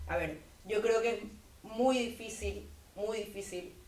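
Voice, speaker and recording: Amid audible room echo and noticeable background noise, a woman speaks at a fairly slow pace with ordinary pitch variation. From Bolivia, Santa Cruz. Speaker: university student, debater. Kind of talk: debate.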